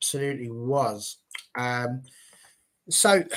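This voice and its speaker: This man has a medium pitch and talks with an English accent. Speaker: football fan show host. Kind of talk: live panel discussion.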